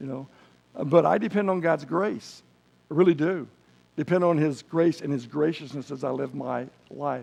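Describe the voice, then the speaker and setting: Vocal fry runs through this man's fairly high voice. His pitch varies in an ordinary way, and he leaves long, frequent pauses. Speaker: preacher. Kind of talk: sermon. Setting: church. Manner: fast.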